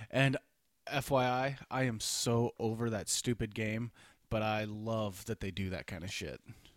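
In a very clean recording with a silent background and a dry, close sound with no echo, a man with a plain, everyday voice speaks at medium pitch and a fairly slow pace, his intonation fairly even. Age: 30s. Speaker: podcast co-host. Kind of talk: casual chat.

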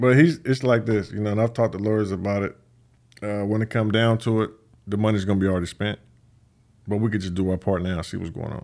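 Speaking with an American accent, a man talks at a very fast pace with fairly even intonation. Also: fairly low pitch for a man, very clean recording, silent background. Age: 30s. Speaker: professional boxer and YouTuber. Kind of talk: casual chat. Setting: studio.

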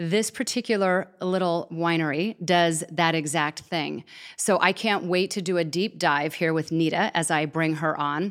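A woman in a plain, everyday voice, fairly low in pitch, at a fairly slow pace with hardly any pauses, fairly even intonation and very even loudness, in a very clean recording with a silent background. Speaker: podcast host. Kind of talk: podcast interview. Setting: in a wine tasting room.

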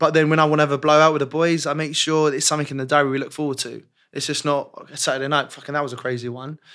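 Speaking very fast with hardly any pauses, a man with a London accent has a fairly high pitch, a bright, sharp tone and a monotone, flat intonation, captured on a very clean recording against a silent background. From West London, England. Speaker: personal trainer. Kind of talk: casual chat.

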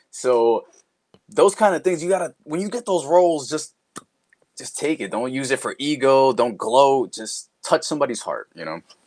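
A man speaks at a moderate pace. He has a New York accent. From Queens, New York (born Dominican Republic). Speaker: voice actor. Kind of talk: casual interview chat.

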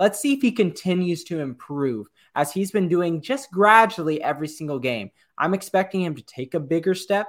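A high-pitched man speaks fairly quickly in a very clean recording with a silent background. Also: lively intonation, big swings in loudness. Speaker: podcast co-host. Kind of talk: casual sports podcast chat.

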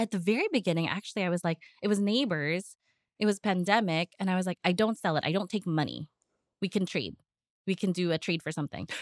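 With a dry, close sound and no echo, a woman with an American accent speaks at a very fast pace and medium pitch. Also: ordinary pitch variation, very clean recording, silent background. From United States. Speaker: home baker and business owner. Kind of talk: interview.

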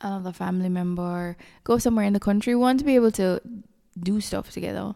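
A woman speaks at a medium pitch. Her tone is dark and mellow. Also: very clean recording, silent background. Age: 30s. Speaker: solo podcaster. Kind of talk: personal reflective monologue. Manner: casual, unscripted.

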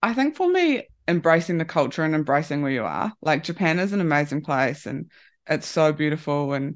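Her pitch is very deep and low for a woman. She talks at a moderate pace against a quiet background. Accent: New Zealand. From New Zealand. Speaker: rugby performance analyst. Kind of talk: interview. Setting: remote call.

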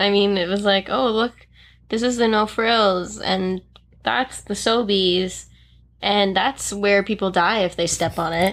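In a Canadian accent, a woman with an unremarkable speaking voice talks fairly slowly at a medium pitch, with fairly even intonation and very even loudness. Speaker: podcast co-host. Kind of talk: casual chat. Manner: playful, laughs often.

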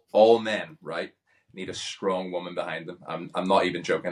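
A man with a Northern Irish accent talks at a fairly quick pace. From Northern Ireland. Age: 30s. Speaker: pro wrestler and reality TV contestant. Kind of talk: casual interview chat. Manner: well spoken.

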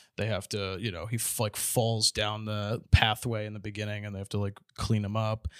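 A man with a plain, everyday voice speaks at a fairly quick pace and fairly low pitch on a very clean recording with a silent background. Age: 20s. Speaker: comedian. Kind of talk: casual chat.

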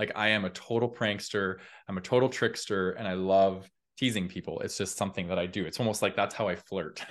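A man speaks in a normal speaking voice at a fairly low pitch. He keeps a fairly quick pace and fairly even intonation against a quiet background. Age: 30s. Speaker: personal growth content creator. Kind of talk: casual chat.

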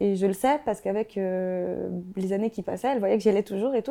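A woman with a dark, mellow tone at a fairly quick pace. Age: 20s. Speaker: YouTuber and sociology graduate. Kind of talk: interview about mental health. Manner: casual, with many fillers.

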